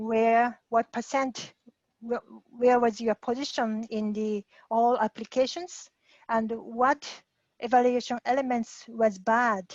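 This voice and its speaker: At a very slow pace, a woman with a fairly high pitch and a Japanese accent speaks with fairly even intonation in a dry, close sound with no echo. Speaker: guest speaker. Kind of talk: Q&A after a talk. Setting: video call. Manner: halting.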